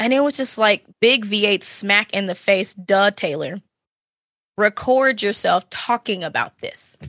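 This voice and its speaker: Here is an unremarkable speaking voice from a woman at medium pitch with ordinary pitch variation. She goes at a fairly slow pace, and the sound is dry and close with no echo. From Texas, Dallas-Fort Worth area. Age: 30s. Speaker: podcaster and streamer. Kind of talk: casual interview chat.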